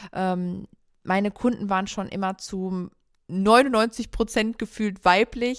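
A woman speaks in a normal speaking voice at a medium pitch, with fairly even intonation on a very clean recording with a silent background. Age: 30s. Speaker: photographer and podcast co-host. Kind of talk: solo podcast monologue, personal story. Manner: casual with frequent fillers.

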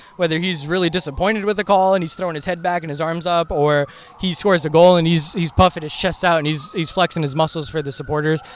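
A man with an American accent speaks in a high voice at a very fast pace. His intonation stays fairly even, with hardly any pauses, over noticeable background noise. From US South, Atlanta Georgia. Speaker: soccer fan. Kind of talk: casual chat. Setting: outdoors.

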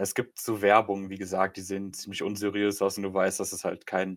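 This man has a fairly low pitch and speaks at a moderate pace. The recording is very clean, with a silent background. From Germany, Polish parents. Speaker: podcast co-host and streamer. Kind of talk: casual chat.

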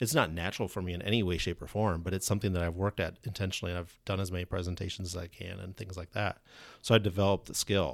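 On a very clean recording with a silent background, a man speaks at a very fast pace. His pitch is very deep and low, his intonation fairly even. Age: 40s. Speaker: career coach and author. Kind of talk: casual interview. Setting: studio.

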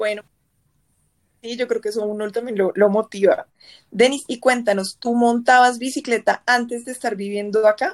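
An unremarkable speaking voice, a woman's fairly high pitch comes with fairly even intonation, a moderate pace and big swings in loudness, on a very clean recording with a silent background and a dry, close sound with no echo. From Bogotá, Colombia. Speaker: podcast host. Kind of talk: casual chat.

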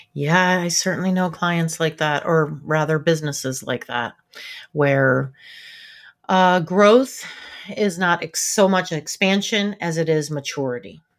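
Speaking at a fairly slow pace, a woman with a fairly low voice sounds animated, her pitch moving in an ordinary way. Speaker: podcast co-host, business owner. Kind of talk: casual co-hosted business podcast chat. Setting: video call. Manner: animated, laughs often.

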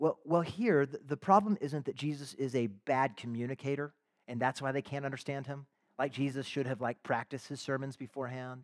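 A man's fairly high voice at a fairly quick pace, ordinary pitch variation, dry and close with no echo, very clean recording with a silent background. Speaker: pastor. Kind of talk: sermon. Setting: church. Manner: fast.

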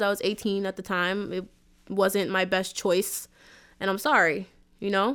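Recorded very cleanly against a silent background, a woman talks with an American accent. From Queens, New York City. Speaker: singer and rapper. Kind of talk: casual interview.

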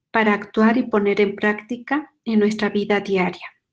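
In a Mexican accent, a woman talks at a fairly slow pace in a fairly high pitch against a quiet background. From Mexico. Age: 50s. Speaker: nun giving a faith formation talk. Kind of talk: spiritual formation talk.

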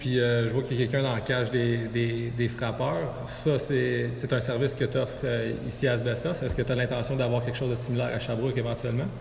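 The speech moves at a fairly quick pace with monotone, flat intonation and very even loudness. Audible room echo and noticeable background noise come through. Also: man, medium pitch for a man. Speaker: podcast host. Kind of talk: interview. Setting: sports complex.

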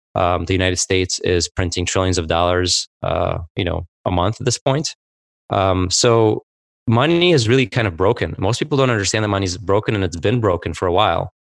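A man with an ordinary speaking voice talks fairly quickly at a fairly low pitch with ordinary pitch variation, the sound dry and close with no echo on a very clean recording with a silent background. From Soviet Union, raised in US from age seven. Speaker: tech founder. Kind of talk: interview.

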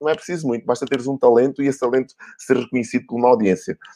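A man speaks at a medium pitch in an animated tone, with ordinary pitch variation. The sound is dry and close with no echo, and the background is quiet. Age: 40s. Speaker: marketing director hosting a live video show. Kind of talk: motivational live-stream talk. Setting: live stream on a social media page.

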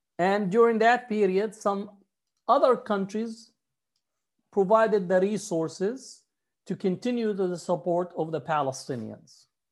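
Against a quiet background, the talking proceeds at a fairly slow pace. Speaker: professor and scholar. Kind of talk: interview.

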